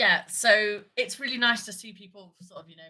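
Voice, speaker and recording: With a British accent, a woman speaks at a fairly quick pace in a bright, sharp tone. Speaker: livestream host talking about larp. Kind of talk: casual livestream chat. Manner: fast; animated.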